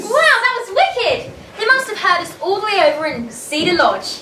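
A woman uses a put-on character voice with extremely high pitch and big pitch swings. Her tone is bright and sharp, with audible room echo. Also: moderate pace.

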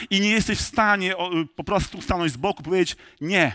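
Over a quiet background, a man speaks very fast in a raised, projected voice at a high pitch. His tone is bright and sharp, with ordinary pitch variation. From rural Poland. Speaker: pastor. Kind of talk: sermon. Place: church.

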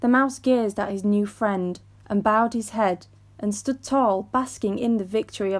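Unforced is the word for this reading voice.

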